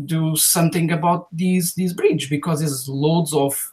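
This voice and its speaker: A man with a non-native accent speaks in a fairly high voice with monotone, flat intonation. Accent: foreign. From Portugal. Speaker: YouTube video creator. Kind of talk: casual interview chat. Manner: halting, many fillers.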